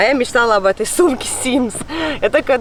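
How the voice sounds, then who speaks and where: A woman speaks in a fairly high voice with an animated tone and ordinary pitch variation. There is noticeable background noise. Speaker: fishing vlogger. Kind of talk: vlog talk to camera. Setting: outdoors by a lake.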